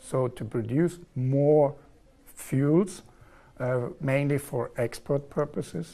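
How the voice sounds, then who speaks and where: The speaker is a man with a dark, mellow tone. His pitch sits fairly high for a man. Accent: southern German. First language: German. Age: 40s. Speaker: engineer, contract manager in oil and gas. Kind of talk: TV interview. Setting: TV studio.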